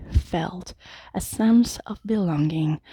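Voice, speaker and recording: This woman has a dark, mellow tone and a Mexican accent, with ordinary pitch variation. The sound is dry and close with no echo, on a very clean recording with a silent background. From Mexico City. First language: Spanish. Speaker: Toastmasters club member. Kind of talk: prepared speech. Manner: halting at times.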